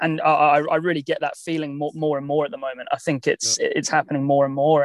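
With a southern English accent, a man speaks very fast in a fairly high pitch and fairly even intonation. The recording is very clean, with a silent background and a dry, close sound with no echo. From southern England, Southampton. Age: 30s. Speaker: tennis coach. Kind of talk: interview conversation. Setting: in a car.

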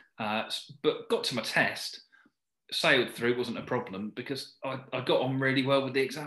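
A man's medium-pitched voice in a southern English accent, bright and sharp in tone, at a moderate pace with ordinary pitch variation. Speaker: driving instructor. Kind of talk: interview chat.

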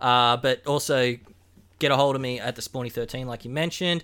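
Very fast with ordinary pitch variation, a bright, sharp voice with an Australian accent comes through on a very clean recording with a silent background. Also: man. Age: 30s. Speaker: podcast host. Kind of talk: casual chat.

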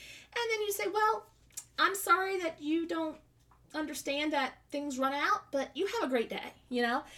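Speaking at a moderate pace with an American accent, a woman uses a bright, sharp tone and very wide pitch swings. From US South. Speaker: podcast host. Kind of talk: religious teaching. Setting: home studio.

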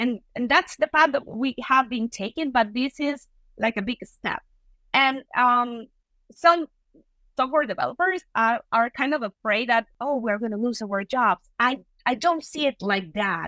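A woman with a Venezuelan accent speaks at a high pitch and a fairly slow pace, her intonation lively and her tone bright and sharp, in a dry, close sound with no echo. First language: Spanish. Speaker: software engineer and tech lead. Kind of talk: interview. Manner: halting.

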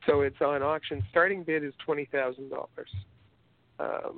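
This man speaks at a fairly high pitch. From Canada. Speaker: podcast co-host, sports editor. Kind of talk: casual chat. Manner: halting, many fillers and repetitions.

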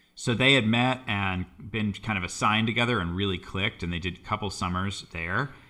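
An unremarkable speaking voice with an American accent at a fairly quick pace. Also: man, fairly low pitch for a man, ordinary pitch variation. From US, Boston area. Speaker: composer and violist. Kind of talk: casual interview conversation. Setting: studio.

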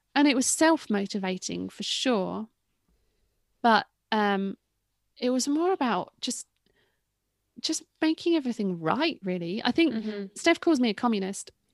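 A woman with an English accent speaks at a moderate pace and a fairly high pitch, with very wide pitch swings and long, frequent pauses. The sound is dry and close, with no echo. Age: 30s. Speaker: retired cyclocross racer and commentator. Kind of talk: interview.

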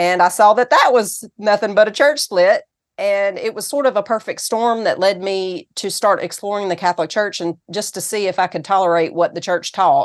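A woman speaks with a Southern US accent at a moderate pace. Her pitch varies in an ordinary way, and she barely pauses at all. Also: medium pitch for a woman, quiet background. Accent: Southern US, noticeable. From Tennessee, US South. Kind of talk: interview. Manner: animated.

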